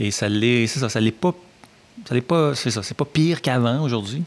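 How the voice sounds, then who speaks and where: A man speaks at a medium pitch and moderate pace. Ordinary pitch variation comes through despite noticeable background noise. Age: 50s. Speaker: journalism professor. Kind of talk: interview. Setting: studio.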